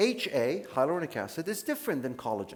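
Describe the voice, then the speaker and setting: Pitching his voice high, a man with an American accent swings through very wide changes in pitch. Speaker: dermatologist. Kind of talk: lecture. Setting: conference stage with audience. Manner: casual, conversational.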